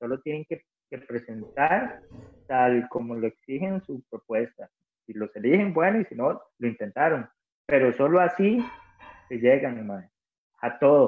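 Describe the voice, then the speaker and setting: With a Costa Rican accent, a man at a medium pitch talks fairly slowly with lively intonation, long, frequent pauses and big swings in loudness. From Costa Rica, Cartago. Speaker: rock musician. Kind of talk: casual interview chat. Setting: remote call from home.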